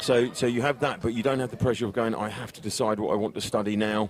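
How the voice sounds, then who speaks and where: A man speaks at a fairly quick pace in a medium pitch, with fairly even intonation over noticeable background noise. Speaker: football commentator. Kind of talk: live commentary with interview. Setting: live stream at a football pitch.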